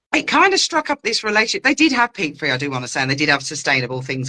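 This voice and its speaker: A woman talks at a very fast pace. Her pitch makes very wide swings. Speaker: gardener giving grow-your-own talks. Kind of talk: casual interview chat. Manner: animated.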